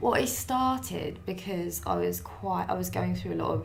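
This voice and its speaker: Audible room echo and noticeable background noise surround a woman's speech. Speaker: singer-songwriter. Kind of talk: interview.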